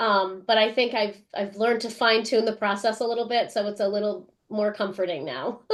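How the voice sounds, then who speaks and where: A woman with an unremarkable speaking voice talks at a fairly high pitch with fairly even intonation. Her pace is fairly quick, with hardly any pauses. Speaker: French teacher and author of graded readers. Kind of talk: interview.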